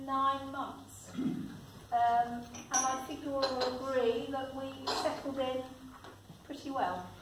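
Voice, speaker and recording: Amid noticeable background noise and audible room echo, a woman speaks. Her pitch is high and her pace fairly slow. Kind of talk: prepared speech. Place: hall.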